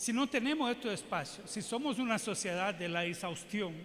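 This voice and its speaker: The speech moves at a moderate pace, with audible echo from the room. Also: man. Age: 60s. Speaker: public health physician and adviser. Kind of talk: keynote lecture Q&A. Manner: halting, with repetitions.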